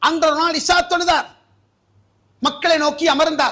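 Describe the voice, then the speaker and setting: Raised and projected, this voice has a bright, sharp tone. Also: man. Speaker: Islamic preacher giving a Friday sermon. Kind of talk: Friday sermon (khutbah / bayan) delivered in a mosque. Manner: earnest, exhortative, direct address to the audience.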